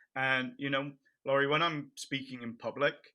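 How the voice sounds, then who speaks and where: A man speaks in a bright, sharp tone at a moderate pace. The recording is very clean, with a silent background. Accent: English. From England, near Cambridge. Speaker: nonprofit founder and bereaved parent. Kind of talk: interview.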